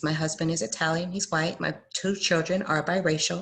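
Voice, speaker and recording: At a moderate pace, a woman speaks in a very deep, low voice that is somewhat breathy, with fairly even intonation. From Fort Lauderdale, Florida (born UK, Jamaican parents). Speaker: panelist on diversity and inclusion. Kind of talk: panel discussion.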